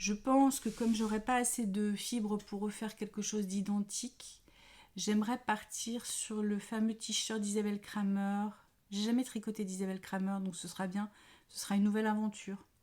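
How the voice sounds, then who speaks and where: A woman speaks at a moderate pace in a fairly high, somewhat breathy voice. Her intonation is monotone and flat. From France, Paris. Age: 50s. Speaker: knitting podcaster. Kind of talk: casual chat. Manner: hesitant, many fillers.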